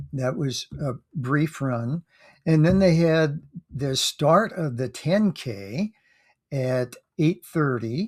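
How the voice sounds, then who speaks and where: A man's fairly high voice at a very slow pace, with lively intonation and long, frequent pauses, on a very clean recording with a silent background and a dry, close sound with no echo. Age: 70s. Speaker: amateur runner vlogger. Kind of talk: casual monologue recap. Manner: halting, many fillers.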